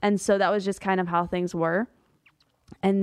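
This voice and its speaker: A woman with an American accent speaks in a plain, everyday voice, pitched fairly low. Her intonation is fairly even, and the background is quiet. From US South, Pensacola, Florida. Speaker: ministry media editor and author. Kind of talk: testimony.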